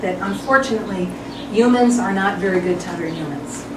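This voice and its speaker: A woman's fairly quick speech amid noticeable background noise and audible room echo. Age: 50s. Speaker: attorney. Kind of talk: personal video presentation. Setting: at home.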